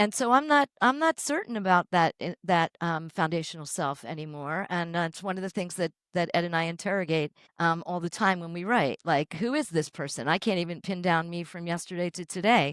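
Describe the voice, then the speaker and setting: A woman at a fairly quick pace with hardly any pauses, fairly low in pitch, ordinary pitch variation, a dry, close sound with no echo, and a very clean recording with a silent background. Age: 60s. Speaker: yoga teacher and writer. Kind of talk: podcast interview. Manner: halting, many fillers.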